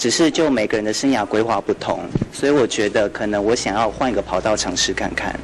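A man talks at a fairly quick pace with ordinary pitch variation amid noticeable background noise. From Taiwan. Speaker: former army officer and pilot trainee. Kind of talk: short news interview. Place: hall. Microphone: handheld.

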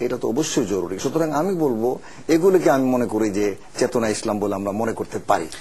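The speech carries a lively, varied melody. Clear background noise runs through the clip. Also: man, medium pitch for a man. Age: old. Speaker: former civil servant and Islamic think-tank chairman. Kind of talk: TV interview.

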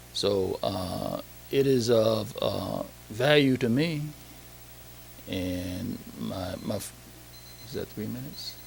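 A man speaks at a very slow pace with long, frequent pauses and big swings in loudness, with noticeable background noise and audible room echo. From Saginaw, Michigan. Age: 60s. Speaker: public commenter at council meeting. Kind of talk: public comment. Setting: council meeting hall. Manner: halting, many fillers.

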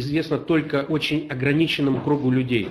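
With light background noise behind him, a man talks at a fairly high pitch with ordinary pitch variation. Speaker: company representative; webinar host. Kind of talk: live report. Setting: on location video link. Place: office. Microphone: webcam.

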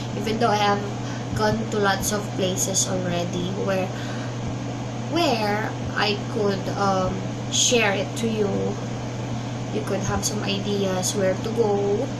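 Amid loud background noise, a woman with a Filipino accent speaks at a very slow pace, leaving long, frequent pauses. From Philippines. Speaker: vlogger. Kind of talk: casual vlog monologue. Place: home room. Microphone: webcam.

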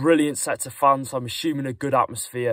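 The voice shows ordinary pitch variation, heard over a quiet background with a dry sound and no echo. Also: man. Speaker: football fan vlogger. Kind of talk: casual vlog chat. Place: car. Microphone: phone near.

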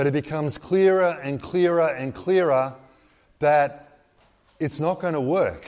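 Fairly slow speech from a man, his pitch varying in an ordinary way. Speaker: priest. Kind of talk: sermon. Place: hall. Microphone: handheld.

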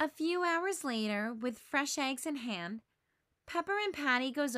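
A woman speaks at a fairly slow pace with lively intonation and a fairly bright tone. The recording is very clean, with a silent background.

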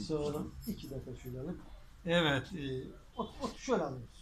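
A man talks at a moderate pace, stopping often for long pauses. Light background noise sits under his voice. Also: big swings in loudness. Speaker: local TV interviewer. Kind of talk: street interview host. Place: shop. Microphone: phone near.

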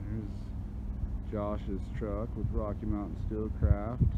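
Loud background noise surrounds a man's voice. The sound is dry with no echo. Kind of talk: casual vlog chat. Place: open country. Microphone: phone near.

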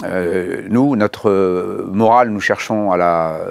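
The background is quiet. A man speaks very slowly in a fairly low voice. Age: 60s. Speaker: bank executive. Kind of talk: interview. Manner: halting, many hesitations and repeated words; formal. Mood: calm, thoughtful. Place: studio. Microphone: lapel.

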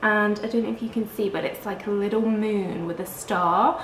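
A woman's fairly even intonation, with audible room echo and light background noise. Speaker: vlogger. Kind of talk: casual vlog chat. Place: home room.

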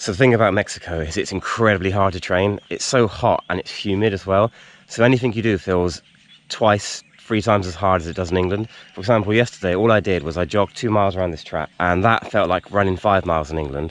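A man talks at a very fast pace in a fairly low pitch with ordinary pitch variation, and the sound is dry with no echo. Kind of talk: casual vlog chat. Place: stadium. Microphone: phone near.

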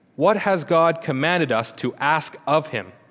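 A man, talking at a very slow pace. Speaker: theology student preaching. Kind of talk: sermon, reading catechism aloud. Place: church. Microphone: podium.

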